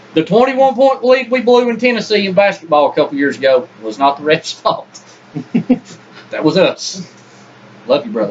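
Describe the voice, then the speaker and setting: The speaker moves at a moderate pace with long, frequent pauses and very wide pitch swings over noticeable background noise. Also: man, high pitch for a man. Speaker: sports podcast co-host. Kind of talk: casual sports debate.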